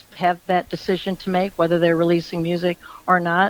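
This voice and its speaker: The voice belongs to a woman. She speaks with an American accent. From US Midwest, Michigan. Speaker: country singer. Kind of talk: radio interview.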